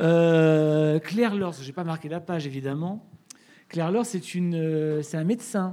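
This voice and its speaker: In a very clean recording with a silent background, the voice has a dark, mellow tone, ordinary pitch variation and a very slow pace. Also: woman, fairly low pitch for a woman. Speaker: radio host and interviewer. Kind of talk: live interview moderation. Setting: stage with live audience.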